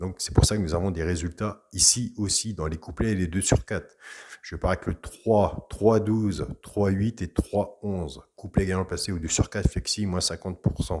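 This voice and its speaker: A man with a very deep, low voice speaks at a moderate pace with ordinary pitch variation. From Brittany, France. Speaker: horse racing tipster. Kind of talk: tips video monologue. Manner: casual, chatty.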